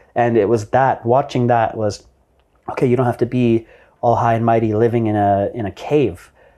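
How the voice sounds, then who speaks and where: In a normal speaking voice, a man with a Canadian accent talks at a medium pitch and moderate pace. His intonation is fairly even, and the background is quiet. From Canada, Vancouver. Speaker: entrepreneur. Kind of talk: interview conversation. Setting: in person at guest's venue.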